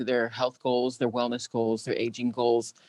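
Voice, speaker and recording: A woman with an American accent over a quiet background. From California. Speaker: health practitioner. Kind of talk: self-introduction.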